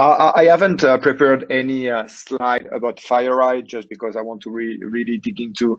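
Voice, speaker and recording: A man's medium-pitched voice in a French accent at a moderate pace. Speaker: cybersecurity executive. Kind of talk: webinar presentation. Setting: online webinar, working remotely. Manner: halting, many fillers.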